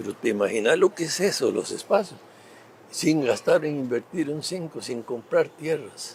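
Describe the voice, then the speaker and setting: A man with a Costa Rican accent speaks at a fairly slow pace. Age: 80s+. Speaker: former government minister and politician. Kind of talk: interview. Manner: halting, many fillers.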